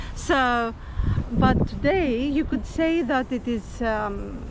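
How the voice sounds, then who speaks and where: A woman with a Greek accent speaks at a high pitch. Noticeable background noise and audible room echo surround her voice. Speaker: travel vlogger. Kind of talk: walking tour guide commentary. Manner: halting, many fillers.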